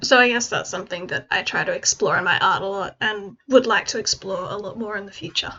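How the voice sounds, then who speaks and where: Her pace is moderate and her pitch varies in an ordinary way. This woman has an Australian accent. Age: 20s. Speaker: hobbyist digital artist. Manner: casual, rambling with fillers.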